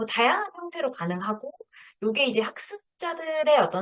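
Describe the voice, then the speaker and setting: Here a woman speaks at a moderate pace. Her high voice has very wide pitch swings. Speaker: lecturer. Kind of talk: lecture.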